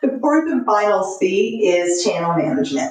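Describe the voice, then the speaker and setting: A woman speaks with a Southern accent and lively intonation. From US South, Texas/Louisiana. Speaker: marketing consultant. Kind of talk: podcast interview.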